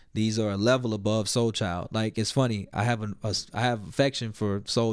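Fairly low in pitch, a man speaks at a moderate pace in an unremarkable speaking voice with an American accent. His intonation is fairly even, and the recording is very clean with a silent background. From US South, Little Rock, Arkansas. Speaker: hip-hop artist and producer. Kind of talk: casual interview.

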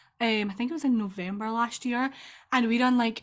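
In a very clean recording with a silent background, a woman with a strong Scottish accent speaks in a somewhat breathy voice with fairly even intonation. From Scotland. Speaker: EFT tapping practitioner and business coach. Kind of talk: casual interview chat.

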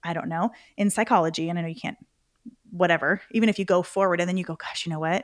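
With a plain, everyday voice at medium pitch, a woman talks in fairly even intonation on a very clean recording with a silent background. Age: 40s. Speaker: entrepreneur and author. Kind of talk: interview.

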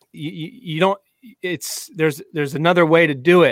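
Pitched high, a man speaks at a very fast pace. The sound is dry and close, with no echo. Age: 30s. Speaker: golf podcast host. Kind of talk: casual chat. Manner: halting.

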